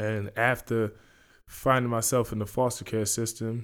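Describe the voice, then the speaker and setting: In a very clean recording with a silent background, a man of medium pitch speaks at a fairly slow pace in a monotone, flat intonation. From London, England. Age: young. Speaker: podcaster and basketball player. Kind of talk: casual monologue.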